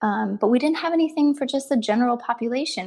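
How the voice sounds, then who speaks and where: With an American accent, a woman talks very fast with vocal fry and ordinary pitch variation. The background is quiet. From Ohio, US Midwest. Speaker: relationship psychologist. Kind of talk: interview.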